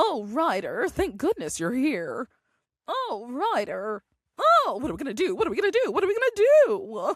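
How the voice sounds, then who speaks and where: A cartoonish character voice at an extremely high pitch swings very widely in pitch at a moderate pace. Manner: flustered, panicky.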